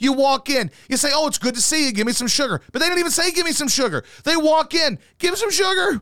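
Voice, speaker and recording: Delivered at a very fast pace with hardly any pauses, the voice has lively intonation, a bright, sharp and animated tone, and a dry, close sound with no echo. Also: man, extremely high pitch for a man. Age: 30s. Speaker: podcast co-host. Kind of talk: casual chat.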